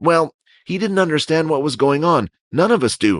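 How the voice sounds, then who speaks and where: A man uses a put-on character voice. It sits fairly high in pitch and moves at a moderate pace. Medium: audio drama. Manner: hesitant.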